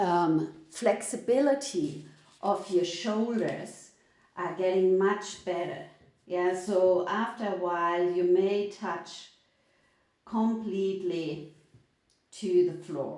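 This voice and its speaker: In a German accent, a woman speaks at a very slow pace with long, frequent pauses, a calm, dark, mellow tone and ordinary pitch variation. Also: medium pitch for a woman. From Germany. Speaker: yoga teacher. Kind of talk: live online yoga class instruction. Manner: slow, calm.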